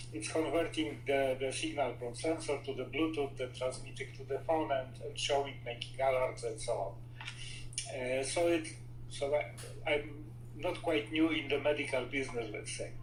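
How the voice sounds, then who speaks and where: Over noticeable background noise and audible room echo, a man at medium pitch talks at a moderate pace with fairly even intonation. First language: Polish. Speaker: inventor and entrepreneur. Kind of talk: interview. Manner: halting, with frequent fillers.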